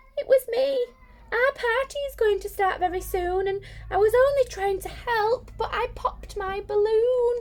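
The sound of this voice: A put-on character voice comes through shaky. It moves at a moderate pace. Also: woman, extremely high pitch for a woman.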